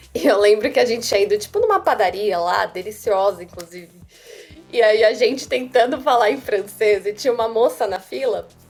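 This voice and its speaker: A woman's fairly high voice at a fairly quick pace with ordinary pitch variation, music in the background. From Brazil. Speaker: software developer. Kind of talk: casual interview.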